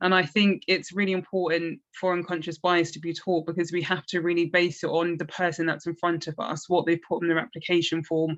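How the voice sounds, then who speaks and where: Speaking with a South East London accent, a woman uses a fairly low pitch. Her pace is fairly quick and her intonation monotone and flat. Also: hardly any pauses, quiet background. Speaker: recently qualified lawyer, interview panel member. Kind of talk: panel discussion.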